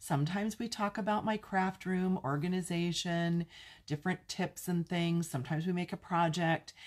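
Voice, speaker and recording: Somewhat breathy, a woman speaks with an American accent. She moves at a fairly quick pace. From California (Pasadena), US West Coast. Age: 60s. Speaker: craft demonstrator and video host. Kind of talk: casual live-stream Q&A chat. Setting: live stream to online viewers. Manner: chatty, warm, informal.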